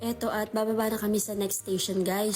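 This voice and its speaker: A woman talks fairly quickly at a medium pitch while noticeable background noise carries on. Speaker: vlogger. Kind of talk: travel vlog voice-over. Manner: casual, chatty.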